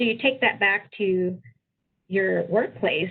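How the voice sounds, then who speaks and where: A woman with an American accent, a normal speaking voice, medium pitch, ordinary pitch variation and a moderate pace. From US, Filipino American. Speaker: tech leader, webinar panelist. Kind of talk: panel discussion.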